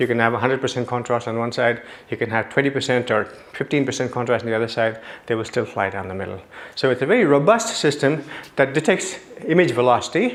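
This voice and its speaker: A man talks at a very fast pace with a medium pitch and ordinary pitch variation. Noticeable background noise runs beneath him. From South India. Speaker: neuroscientist. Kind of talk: lecture.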